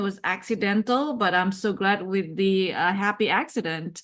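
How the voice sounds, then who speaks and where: A woman with a non-native accent at a fairly slow pace, over a quiet background. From outside the US, non-English-speaking country. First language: not English. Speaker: cybersecurity executive and advisor. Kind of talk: interview.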